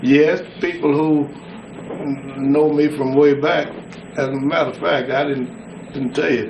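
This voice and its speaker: A Southern US accent at a fairly slow pace, with long, frequent pauses and ordinary pitch variation, amid noticeable background noise and audible room echo. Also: man, fairly high pitch for a man. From West Tennessee, US South. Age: 70s. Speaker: war veteran and pastor. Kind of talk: oral history interview.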